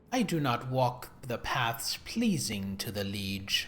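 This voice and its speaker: Using a put-on character voice, a man talks at a fairly slow pace with a medium pitch. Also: ordinary pitch variation. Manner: dismissive, haughty.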